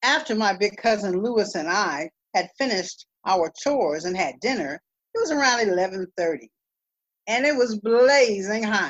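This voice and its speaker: With a plain, everyday voice, a woman speaks at a medium pitch and a fairly slow pace, her intonation lively. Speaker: storyteller. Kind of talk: storytelling.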